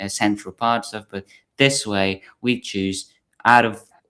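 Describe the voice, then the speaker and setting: In a very clean recording with a silent background, a man with a Hungarian accent talks at a fairly slow pace in a fairly low pitch with fairly even intonation. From Hungary. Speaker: podcast host and film platform founder. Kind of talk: casual discussion. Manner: halting, many fillers.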